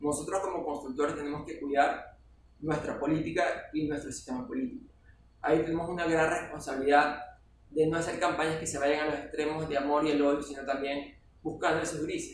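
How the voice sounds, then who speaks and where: A fairly high-pitched man's fairly quick, monotone, flat delivery, with audible room echo and noticeable background noise. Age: 40s. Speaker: political scientist and consultant. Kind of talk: casual chat.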